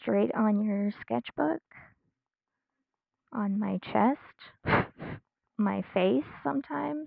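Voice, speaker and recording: Soft-spoken, a woman talks at a very slow pace with long, frequent pauses and very wide pitch swings. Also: medium pitch for a woman. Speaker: streamer, digital artist. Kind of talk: casual live-stream chat while drawing. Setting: live stream at home. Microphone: quiet mic.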